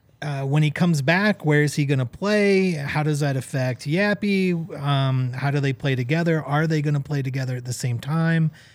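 This man has an ordinary speaking voice with a fairly high pitch and ordinary pitch variation. He talks at a moderate pace with hardly any pauses. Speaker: soccer podcast co-host. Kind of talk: casual chat.

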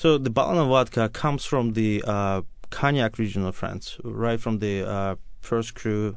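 A man speaks with a Russian accent at a fairly slow pace. His pitch is medium, with ordinary variation. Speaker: wine and spirits importer. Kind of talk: radio interview.

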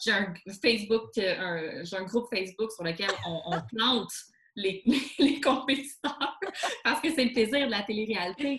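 A woman with a normal speaking voice talks at a fairly high pitch with lively intonation. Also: fairly slow pace. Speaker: columnist and documentary host. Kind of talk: casual chat. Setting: video call.

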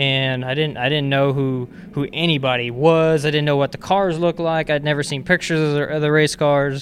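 A man with an American accent and a plain, everyday voice speaks at a fairly high pitch and fairly quick pace, with fairly even intonation and hardly any pauses. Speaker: racing car chief. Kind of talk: interview.

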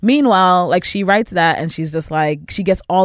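Captured in a very clean recording with a silent background, a woman talks at a very fast pace. She has an American accent and a fairly low pitch. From the Bronx, New York. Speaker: producer. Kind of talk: casual chat.

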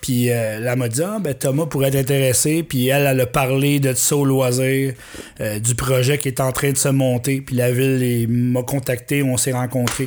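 An unremarkable speaking voice moves at a fairly slow pace with fairly even intonation. Its loudness stays very even. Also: man, medium pitch for a man. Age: 40s. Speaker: musician. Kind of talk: casual chat.

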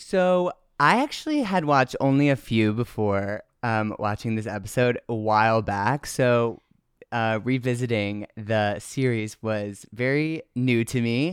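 A man with a normal speaking voice, medium pitch and a fairly slow pace, in a dry, close sound with no echo on a very clean recording with a silent background. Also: ordinary pitch variation. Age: 20s. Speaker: lip-sync artist. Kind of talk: casual chat.

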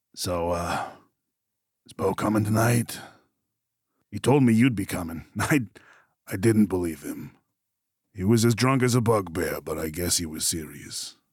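Using a put-on character voice, a man speaks raspy and fairly low in pitch at a moderate pace, with long, frequent pauses. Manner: casual, chatty.

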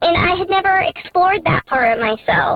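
Noticeable background noise sits under the recording. A woman delivers her words at a moderate pace, her pitch varying in an ordinary way. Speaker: caller. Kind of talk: radio call-in advice. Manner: halting.

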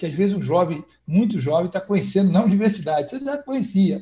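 A man speaks at a high pitch with a dark, mellow tone. His pace is fairly quick and his pitch variation ordinary. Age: 50s. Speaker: historian. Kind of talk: online panel discussion. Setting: video call from home. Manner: halting, many repetitions.

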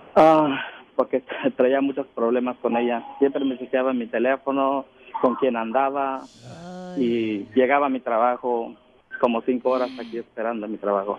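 A man speaks fairly slowly as noticeable background noise carries on. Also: medium pitch for a man. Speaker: caller. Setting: phone call.

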